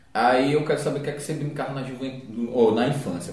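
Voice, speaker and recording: Noticeable background noise and audible room echo around a man speaking at a medium pitch. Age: 30s. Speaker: podcast host. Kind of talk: casual chat.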